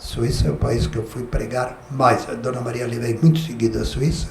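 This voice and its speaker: A medium-pitched man talks with a southern Brazilian accent and lively intonation. Audible room echo and noticeable background noise fill the recording. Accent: gaúcho Brazilian Portuguese. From southern Brazil (Rio Grande do Sul). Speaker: pastor. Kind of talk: testimony. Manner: conversational, frequent filler tags.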